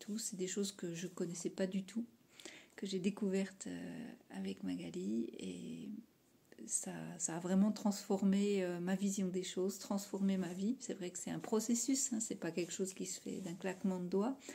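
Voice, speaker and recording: A woman with vocal fry and a dark, mellow tone speaks at a fairly slow pace with ordinary pitch variation. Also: medium pitch for a woman. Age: 50s. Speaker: aspiring coach. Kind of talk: testimonial.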